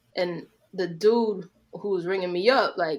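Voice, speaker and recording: A woman speaks with a New York accent. Her pitch variation is ordinary. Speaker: podcast co-host. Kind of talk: casual chat.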